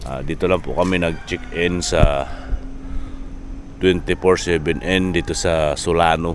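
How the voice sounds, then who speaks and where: A man with a very deep, low voice speaks with ordinary pitch variation as noticeable background noise carries on. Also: fairly slow pace. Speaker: travel vlogger. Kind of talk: casual vlog narration. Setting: outdoors by highway.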